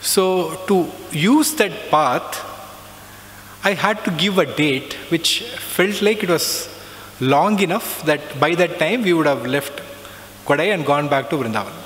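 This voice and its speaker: A man with an Indian accent speaks at a fairly slow pace in a high pitch with lively intonation, leaving long, frequent pauses. Noticeable background noise runs through the clip. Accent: non-native Hindi. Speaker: alumnus speaker sharing spiritual experiences. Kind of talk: testimony.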